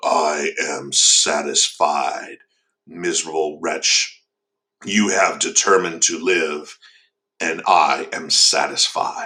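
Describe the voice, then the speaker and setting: Whispering very slowly, a man uses a raspy, put-on character voice. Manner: menacing whisper.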